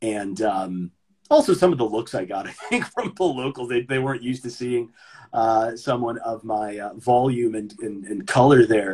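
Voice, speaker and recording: A somewhat breathy man with an American accent speaks at a moderate pace and medium pitch, with ordinary pitch variation. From US East Coast. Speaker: English teacher. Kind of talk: casual chat.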